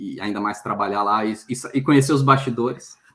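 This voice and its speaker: A man speaks with fairly even intonation. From Brazil, Minas Gerais (Belo Horizonte). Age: 40s. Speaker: career mentor. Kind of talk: interview. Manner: halting, many fillers.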